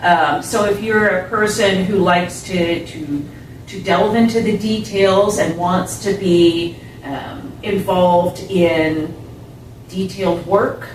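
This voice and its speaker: Very slow pace and ordinary pitch variation, with audible room echo and noticeable background noise. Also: woman, medium pitch for a woman. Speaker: audiologist. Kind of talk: interview. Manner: deliberate, slow; slightly raised voice.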